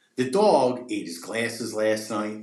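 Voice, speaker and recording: Here is a man with an ordinary speaking voice at medium pitch. He talks fairly slowly with ordinary pitch variation. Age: 40s. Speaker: pet treat business owner. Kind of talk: casual podcast interview.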